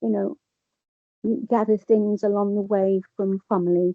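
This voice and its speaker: A woman with an English accent talks at a fairly slow pace. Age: 70s. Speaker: person with lived experience. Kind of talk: testimony. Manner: halting.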